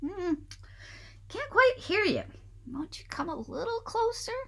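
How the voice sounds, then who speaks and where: In a put-on character voice, the speaker uses an extremely high pitch at a fairly slow pace. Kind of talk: storybook narration. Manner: feigning frailty to lure prey.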